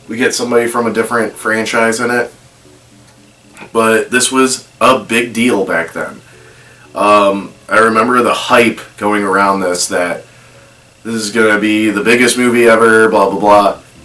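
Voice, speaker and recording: Male voice at medium pitch and moderate pace, monotone and flat, with noticeable background noise. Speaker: movie reaction youtuber. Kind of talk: casual video commentary. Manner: hesitant with fillers.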